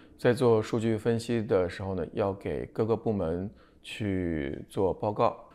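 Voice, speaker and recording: A man's fairly low voice with a dark, mellow tone, ordinary pitch variation and a fairly slow pace. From China. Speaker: pharmaceutical distribution executive; interviewee. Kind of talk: TV interview. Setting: studio. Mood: calm, reflective. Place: home room. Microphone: lapel.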